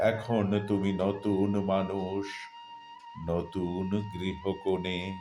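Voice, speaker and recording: Music plays in the background as the voice delivers its words in a monotone, flat intonation. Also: man, fairly low pitch for a man. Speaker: poetry reciter. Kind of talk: poetry reading. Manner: deeply emotional.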